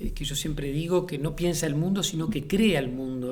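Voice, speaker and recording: Audible room echo surrounds a man whose fairly high voice keeps fairly even intonation. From Uruguay. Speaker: playwright and theatre director. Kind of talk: interview. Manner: hesitant, many fillers and repetitions; reflective.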